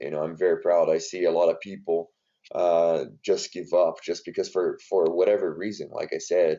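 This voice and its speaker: Here a man speaks with a Brazilian Portuguese accent. His pace is moderate. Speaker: strength and conditioning coach. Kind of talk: podcast interview. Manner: hesitant, many fillers.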